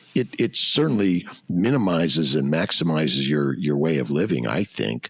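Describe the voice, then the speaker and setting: A man with a very deep, low pitch and vocal fry speaks at a moderate pace with lively intonation and very even loudness. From US West Coast, Los Angeles. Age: 60s. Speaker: fertility doctor. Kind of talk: interview conversation. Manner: loud at times.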